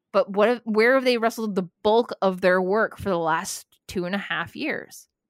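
An unremarkable speaking voice from a woman of medium pitch, with ordinary pitch variation and a moderate pace, in a dry, close sound with no echo on a very clean recording with a silent background. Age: 40s. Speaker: wrestling podcaster and former flight attendant. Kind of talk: casual chat.

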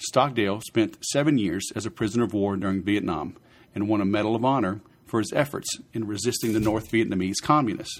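At a fairly quick pace, a man speaks in a fairly low pitch. His pitch variation is ordinary. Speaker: sales podcast host and author. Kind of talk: reading aloud from a book, podcast solo; dramatic narration of a historical story. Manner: measured, storytelling cadence, dramatic; casual, friendly, upbeat.

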